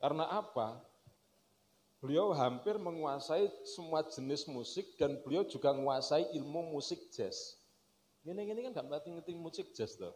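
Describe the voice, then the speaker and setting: In a Javanese accent, a man with a high pitch and ordinary pitch variation speaks at a moderate pace over light background noise. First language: Javanese (speaking Indonesian). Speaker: speaker. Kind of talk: religious lecture and kitab reading. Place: stage. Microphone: handheld.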